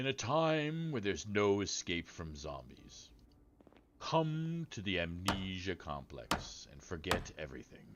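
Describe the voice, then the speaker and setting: Booming in a put-on character voice, a man speaks at a fairly slow pace and fairly low pitch, with very wide pitch swings and big swings in loudness. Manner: dramatic, flashy.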